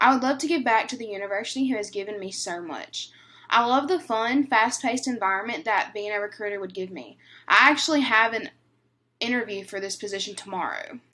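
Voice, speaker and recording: A woman with a Southern US accent, fairly quick, at a fairly high pitch with ordinary variation, in a very clean recording with a silent background. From northern Louisiana. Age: 20s. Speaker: university student. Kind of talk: class presentation.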